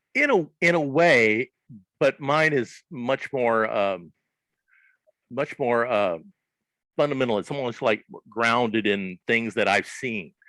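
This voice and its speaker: With a Southern US accent, a man speaks at a very slow pace with long, frequent pauses, lively intonation and a bright, sharp tone, in a dry, close sound with no echo. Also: medium pitch for a man. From US South, southern Arkansas. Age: 60s. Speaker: comics creator. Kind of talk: interview. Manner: halting, many fillers.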